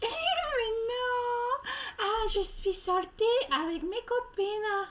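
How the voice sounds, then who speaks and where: A woman puts on a squeaky character voice at an extremely high pitch. She goes at a very slow pace, and her loudness stays very even. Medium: stage play. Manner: naive and self-justifying.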